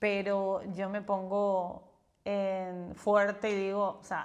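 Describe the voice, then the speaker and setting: A woman speaks at a medium pitch. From Paraguay. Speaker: podcast co-host. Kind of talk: casual chat.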